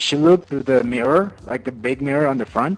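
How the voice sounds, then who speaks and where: Someone with a non-native accent speaks at a fairly quick pace with ordinary pitch variation. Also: man. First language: not English. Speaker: gamer sharing life story. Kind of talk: personal testimony. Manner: halting, many repetitions.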